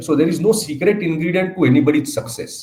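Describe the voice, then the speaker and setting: A man with an Indian accent, fairly high in pitch, at a moderate pace. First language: Marathi. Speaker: speaker at training programme. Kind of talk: inaugural address. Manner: hesitant, frequent fillers.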